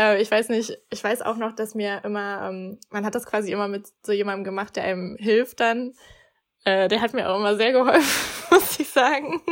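Here is a woman with an unremarkable speaking voice at a moderate pace. Her pitch is fairly high, with ordinary variation. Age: 20s. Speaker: student advisor. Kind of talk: casual chat.

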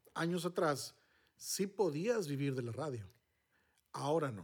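With a fairly high pitch and lively intonation, a man talks at a fairly slow pace. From northern Mexico, Monterrey. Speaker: podcast host, former radio announcer. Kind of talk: casual chat.

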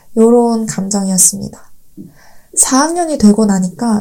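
This woman's voice is fairly high in pitch, somewhat breathy, with a dark, mellow tone. Her intonation is lively and her pace fairly slow. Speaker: podcast host, Korean language teacher. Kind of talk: scripted monologue for learners. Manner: clear, learner-friendly pacing.

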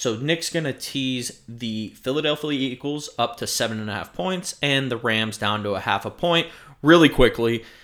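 A man in an American accent at a medium pitch, fairly slow, with ordinary pitch variation, on a very clean recording with a silent background. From South Florida. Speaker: sports and gambling podcast co-host. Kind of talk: casual chat. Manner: animated.

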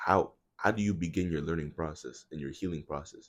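A man speaks with vocal fry. His pitch is very deep and low. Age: young. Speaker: college student. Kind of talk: casual chat.

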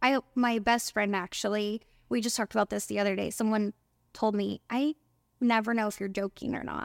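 Using a normal speaking voice, a woman with an American accent talks at a fairly quick pace and fairly high pitch with fairly even intonation, on a very clean recording with a silent background. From Oklahoma, small town. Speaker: spray tan business owner. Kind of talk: casual interview.

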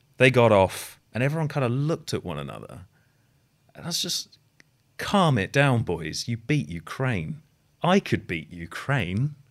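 A man's medium-pitched voice with vocal fry, at a moderate pace, in a very clean recording with a silent background. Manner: deadpan.

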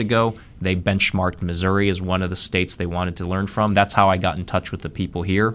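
A man with an American accent talks at a fairly quick pace in a very deep, low pitch, his intonation monotone and flat. The recording is very clean, with a silent background. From Ohio, Columbus. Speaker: economic development executive. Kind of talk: radio interview.

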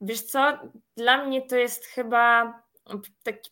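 On a very clean recording with a silent background, a woman speaks with a bright, sharp tone, fairly high pitch and fairly even intonation. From Poland, Masovia (small town north of Warsaw). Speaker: project manager and business trainer. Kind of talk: interview.

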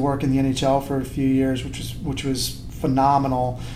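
A man in a Western New York accent talks at a moderate pace with noticeable background noise behind him. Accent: Western New York American. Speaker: soccer club president. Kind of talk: casual interview.

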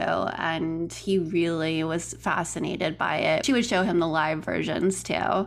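A woman talks at a fairly slow pace. There is audible room echo. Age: 30s. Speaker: podcast producer. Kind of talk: interview, casual chat.

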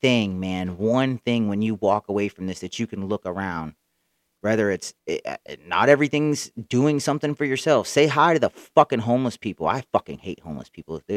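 Heard in a very clean recording with a silent background and a dry, close sound with no echo, a man with an unremarkable speaking voice talks at a moderate pace in a medium pitch with lively intonation. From Central Florida, Tampa area. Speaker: podcast host. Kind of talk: solo storytelling monologue. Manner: casual, rambling with fillers.

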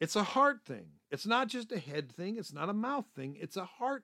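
A man projects a raised voice with a bright, sharp tone and a high pitch. His pitch swings very widely at a moderate pace. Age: 50s. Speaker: podcast host and minister. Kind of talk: religious teaching podcast. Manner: halting, many fillers.

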